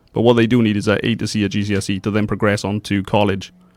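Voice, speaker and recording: A man's very fast, fairly low-pitched speech in a South Wales Valleys accent. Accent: Pontypridd (South Wales Valleys). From South Wales, Pontypridd area. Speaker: youth training provider staff. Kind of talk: radio interview.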